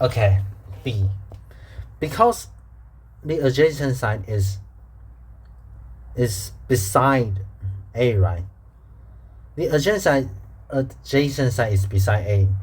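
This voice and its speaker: A man with a Chinese accent, somewhat breathy, at a very slow pace with long, frequent pauses and audible room echo. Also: medium pitch for a man, ordinary pitch variation. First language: Mandarin Chinese. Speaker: math teacher. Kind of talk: tutorial. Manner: halting, with repetitions.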